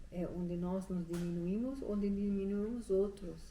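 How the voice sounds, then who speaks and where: The voice has a dark, mellow tone, somewhat breathy, with a non-native accent. Its intonation is fairly even, and the room echo is audible. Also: woman. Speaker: prayer and deliverance minister. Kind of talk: sermon. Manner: halting.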